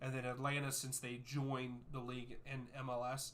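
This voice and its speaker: Someone with an American accent speaks at a moderate pace in a bright, sharp tone with monotone, flat intonation, and audible room echo. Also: man. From US, West Virginia. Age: 30s. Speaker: soccer YouTuber and streamer. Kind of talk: live watchalong chat with viewers.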